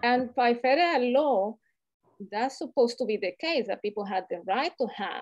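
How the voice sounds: A woman with a Latin American accent, fairly high-pitched with a slightly mellow tone, at a fairly slow pace with ordinary pitch variation.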